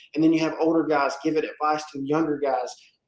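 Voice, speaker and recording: This man talks at a very fast pace in a Southern US accent. His pitch is fairly high. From South Carolina, US South. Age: 20s. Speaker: roofing company owner. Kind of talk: casual interview.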